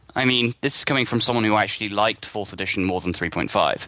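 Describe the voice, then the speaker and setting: A man speaks with a British accent in a bright, sharp tone. The background is quiet. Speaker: gaming site contributor. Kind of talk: casual chat.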